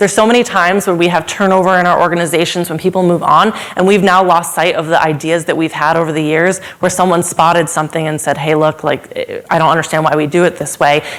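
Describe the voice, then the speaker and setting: A woman with a fairly low pitch talks at a very fast pace with hardly any pauses. Noticeable background noise runs under her voice. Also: fairly even intonation. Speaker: supply chain consultant. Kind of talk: conference talk.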